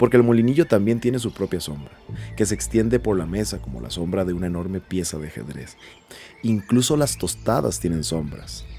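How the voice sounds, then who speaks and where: A man speaks at a moderate pace with a very deep, low pitch and very wide pitch swings. Music plays in the background. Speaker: podcast host and narrator. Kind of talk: audio narration of a short story.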